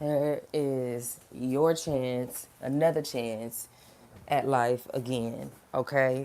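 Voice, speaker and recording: The tone is dark and mellow. Intonation stays fairly even throughout. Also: woman. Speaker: vlogger. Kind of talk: casual motivational monologue. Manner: conversational, filler words.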